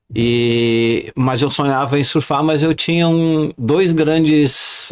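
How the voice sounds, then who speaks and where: A man's voice over noticeable background noise. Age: 70s. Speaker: retiree and amateur surfer. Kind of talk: casual podcast interview.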